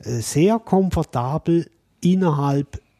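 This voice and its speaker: A man speaks in a dark, mellow tone that is somewhat breathy. The sound is dry and close, with no echo. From Switzerland. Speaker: podcast co-host. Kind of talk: casual chat.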